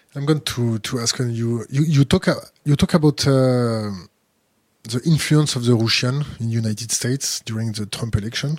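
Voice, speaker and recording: Recorded dry and close with no echo, a man with a French accent speaks at a moderate pace and medium pitch with ordinary pitch variation. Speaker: interviewer. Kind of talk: interview. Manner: halting.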